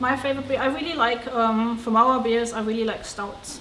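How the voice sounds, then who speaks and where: A woman's fairly high, monotone, flat voice at a moderate pace, with audible room echo and noticeable background noise. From Germany. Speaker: brewery co-owner. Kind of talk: interview.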